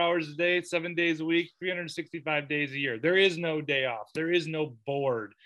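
A man with a plain, everyday voice and an American accent, fairly high in pitch, at a fairly slow pace with ordinary pitch variation. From United States. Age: 40s. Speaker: dog musher. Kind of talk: interview.

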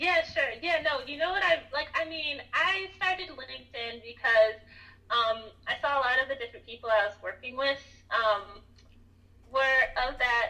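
A woman with an American accent speaks in a raised, projected voice. Her pitch is high and her intonation lively. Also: moderate pace. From US South. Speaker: copywriter and freelance writer. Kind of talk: podcast interview.

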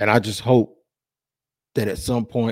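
On a very clean recording with a silent background, a man's medium-pitched voice sounds dry and close with no echo. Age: 50s. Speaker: sports podcast host. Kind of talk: solo podcast monologue. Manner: halting, with many repetitions and fillers.

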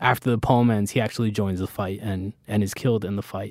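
A man with an American accent speaks at a fairly quick pace in a fairly low, flat monotone. The recording is very clean and dry, close-sounding with no echo and a silent background. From New York, the Bronx. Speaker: poet. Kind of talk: casual chat.

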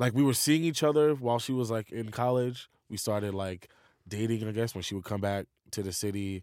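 A man's medium-pitched voice with a New York accent, fairly quick pace and ordinary pitch variation, on a very clean recording with a silent background. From New York, Queens. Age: 30s. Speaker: rapper. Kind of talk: interview.

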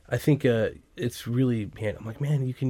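At a very fast pace, a man speaks in a dark, mellow, somewhat breathy tone with ordinary pitch variation, on a very clean recording with a silent background. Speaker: filmmaker and wedding videographer. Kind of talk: casual chat. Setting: studio.

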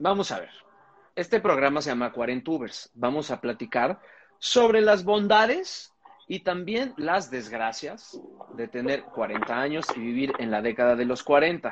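The speaker goes at a fairly slow pace with an animated tone and very wide pitch swings. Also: man, fairly high pitch for a man. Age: 40s. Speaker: podcast co-host. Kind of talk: casual chat.

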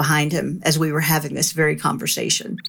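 The speech comes at a very fast pace. Noticeable background noise is present. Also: woman. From Kentucky, US. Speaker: former FBI agent. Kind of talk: interview testimony.

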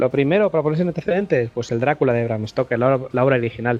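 Music plays in the background. A man talks in a medium pitch. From Spain. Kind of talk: casual chat.

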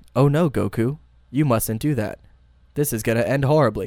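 A man speaks in a calm, put-on character voice on a very clean recording with a silent background. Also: medium pitch for a man, fairly quick pace. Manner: calm, flat, mismatched to the panic on screen.

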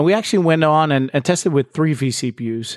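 A man with a Dutch accent speaks with ordinary pitch variation in a dry, close sound with no echo and a quiet background. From Netherlands. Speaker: tech industry expert. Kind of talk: casual interview. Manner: halting, many fillers.

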